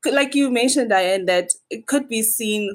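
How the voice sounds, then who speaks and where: A woman with an unremarkable speaking voice talks at a fairly high pitch, with lively intonation and a fairly slow pace. The recording is very clean, with a silent background. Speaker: podcast guest, administrator. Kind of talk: casual chat.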